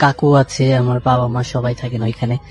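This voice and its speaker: A man is speaking. Music plays in the background. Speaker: caller sharing a personal ghost story. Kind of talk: radio call-in storytelling. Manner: hesitant, many filler sounds.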